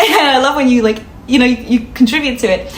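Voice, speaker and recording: With noticeable background noise and audible room echo, a woman with a high pitch and a slight non-native accent speaks at a very fast pace. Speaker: content creator. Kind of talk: casual vlog storytelling. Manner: fast when nervous, laughs a lot; calm.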